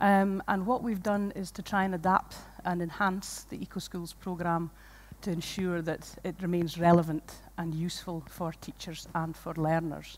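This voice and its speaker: A woman with a Shetland accent talks at a moderate pace, her fairly low pitch held in a monotone, flat intonation. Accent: Shetland Scottish. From Scotland, Shetland. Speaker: environmental education programme manager. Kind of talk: conference lecture. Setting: stage with audience.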